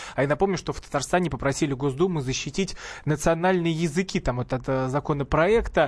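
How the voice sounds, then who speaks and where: A plain, everyday voice from a man, fairly high in pitch, at a fairly quick pace with ordinary pitch variation. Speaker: radio host. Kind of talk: radio talk show hosting. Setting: radio studio.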